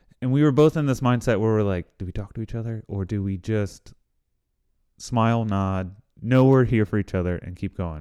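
A man with an American accent speaks at medium pitch with lively intonation, an unremarkable speaking voice. The recording is very clean with a silent background. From central Pennsylvania, rural. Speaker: CrossFit coach and marathon runner. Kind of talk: casual chat.

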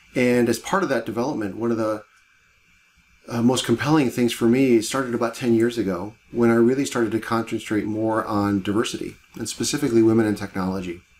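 A man with an American accent speaks at a medium pitch and a fairly quick pace. His intonation is fairly even, with noticeable background noise behind him. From US Midwest, Cleveland, Ohio. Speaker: tech executive. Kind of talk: interview.

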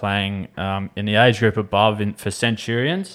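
A man with an Australian accent speaks at a fairly slow pace in a medium pitch, on a very clean recording with a silent background. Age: 20s. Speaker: podcast co-host and cricketer. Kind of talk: casual chat. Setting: studio.

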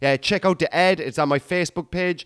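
A man with a Cork accent speaks in an animated tone with lively intonation, the sound dry and close with no echo. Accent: Cork Irish. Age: 30s. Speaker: comedian podcast host. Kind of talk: casual monologue.

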